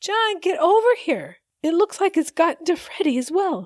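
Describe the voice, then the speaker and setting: A woman's put-on character voice, squeaky and extremely high-pitched, with lively intonation at a moderate pace, dry and close with no echo. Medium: read story. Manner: emotional, earnest.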